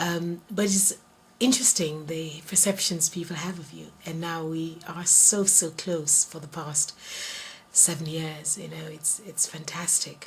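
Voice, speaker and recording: A woman speaks at a fairly slow pace in a fairly low pitch, with fairly even intonation, big swings in loudness and noticeable background noise. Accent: English. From Jamaica. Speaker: interviewee. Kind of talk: interview.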